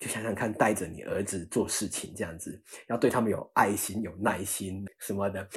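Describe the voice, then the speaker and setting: A somewhat breathy voice at a moderate pace with fairly even intonation. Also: man, fairly low pitch for a man. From Taiwan, Chiayi. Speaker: staff scientist at biotech startup. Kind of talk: interview.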